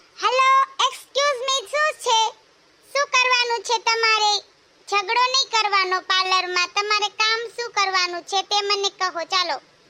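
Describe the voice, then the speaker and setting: In a cartoonish character voice, a female-sounding voice speaks at a fairly slow pace with an extremely high pitch for a woman. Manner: polite, standard speech.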